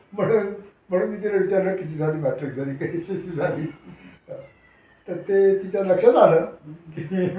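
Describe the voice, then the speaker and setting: The man's pitch is high. He keeps a fairly even intonation. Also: big swings in loudness. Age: 80s+. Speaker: retired laboratory employee and consultant. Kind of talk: interview answer.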